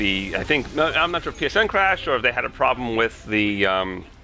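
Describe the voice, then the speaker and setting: Over noticeable background noise, a man with an American accent talks at a fairly low pitch with lively intonation. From US Northeast, Long Island, New York. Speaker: gaming YouTuber. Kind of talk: gameplay commentary Q&A. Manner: casual, hesitant with fillers.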